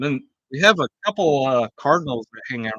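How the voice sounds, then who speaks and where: At a moderate pace, a man talks in a bright, sharp tone, the sound dry and close with no echo. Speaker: homebrewer and channel host. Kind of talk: livestream casual chat. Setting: outdoors under a canopy. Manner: loud.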